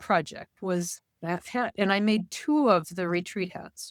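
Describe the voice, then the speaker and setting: In a very clean recording with a silent background, a woman with an unremarkable speaking voice speaks at a medium pitch with ordinary pitch variation, in a dry, close sound with no echo. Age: 60s. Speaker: knitter. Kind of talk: casual chat.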